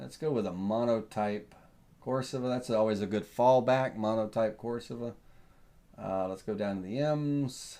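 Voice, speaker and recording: A man with a Southern US accent talks at a moderate pace in a dark, mellow tone, with medium pitch, ordinary pitch variation and a quiet background. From US South. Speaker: woodworking software instructor. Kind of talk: tutorial. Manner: casual, thinking aloud with fillers.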